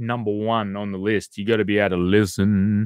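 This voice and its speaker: The speaker has an Australian accent on a very clean recording with a silent background. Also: man. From Western Australia, Perth. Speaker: YouTube live streamer. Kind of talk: live stream chat with viewers. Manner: casual, hesitant with repetitions.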